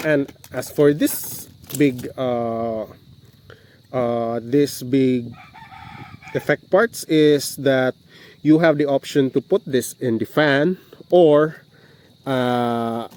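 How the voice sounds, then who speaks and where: Male voice with a Visayan accent, medium pitch and ordinary pitch variation, at a very slow pace with long, frequent pauses, dry and close with no echo, over noticeable background noise. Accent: Bisaya (Filipino). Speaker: model kit reviewer. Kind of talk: casual review talk to camera. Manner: hesitant, many fillers.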